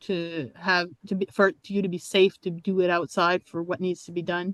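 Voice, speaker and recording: A woman speaks at a moderate pace with a medium pitch. The sound is dry and close with no echo, over a quiet background. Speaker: artist and workshop presenter. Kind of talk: workshop Q&A. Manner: animated.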